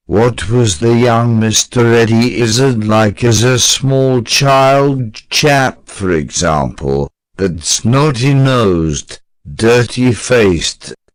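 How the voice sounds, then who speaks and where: A cartoonish character voice from a man, medium in pitch and very slow in pace. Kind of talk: comedic interview questions. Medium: puppet.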